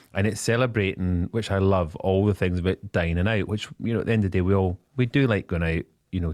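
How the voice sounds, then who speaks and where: Very deep and low, a man's voice with a Scottish accent races at a very fast pace with very even loudness and ordinary pitch variation. The sound is dry and close with no echo, against a quiet background. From Scotland. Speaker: business spokesperson. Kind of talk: radio interview. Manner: animated; halting.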